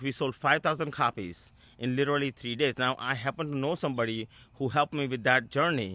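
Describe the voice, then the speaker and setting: Speaking with an Indian accent, a man with a fairly high pitch and a bright, sharp tone goes at a fairly quick pace on a very clean recording with a silent background and a dry, close sound with no echo. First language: Indian language; English is his fourth. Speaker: business coach and author. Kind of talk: casual video talk to camera. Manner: halting, with frequent fillers and restarts.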